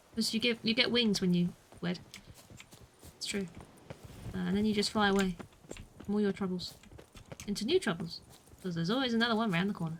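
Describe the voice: Speaking at a very fast pace yet with long, frequent pauses, a woman with a medium pitch sounds somewhat breathy and keeps her intonation fairly even.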